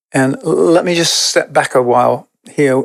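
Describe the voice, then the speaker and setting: A man speaks at medium pitch with a British accent. The recording is very clean, with a silent background. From England. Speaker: podcast guest, spiritual teacher. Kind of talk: podcast conversation. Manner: reflective, with hesitations.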